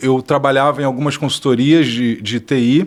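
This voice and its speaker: In a Rio de Janeiro accent, a man speaks at medium pitch. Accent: Carioca. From Rio de Janeiro, Brazil. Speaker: tech entrepreneur and speaker. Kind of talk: podcast interview.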